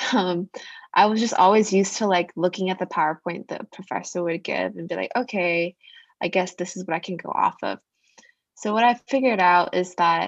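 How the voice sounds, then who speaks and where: In a plain, everyday voice, a woman speaks at a medium pitch and moderate pace with fairly even intonation, in a dry, close sound with no echo. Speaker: student podcast host. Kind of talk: casual chat; scripted intro.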